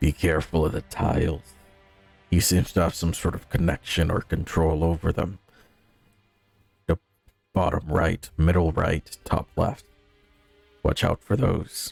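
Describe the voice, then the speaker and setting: Someone speaks in a put-on character voice at a moderate pace, with fairly even intonation and long, frequent pauses. The sound is dry and close with no echo, and faint music plays in the background. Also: man, very deep, low pitch for a man. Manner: low voice.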